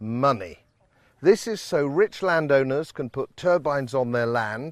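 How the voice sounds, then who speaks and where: On a very clean recording with a silent background, a man with a British accent speaks at a fairly slow pace with very wide pitch swings. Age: 60s. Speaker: politician. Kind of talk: documentary introduction. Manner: emphatic.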